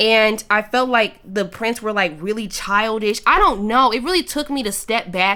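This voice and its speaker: A loud woman's voice, fairly high, with ordinary pitch variation. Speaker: YouTube vlogger. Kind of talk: casual chat.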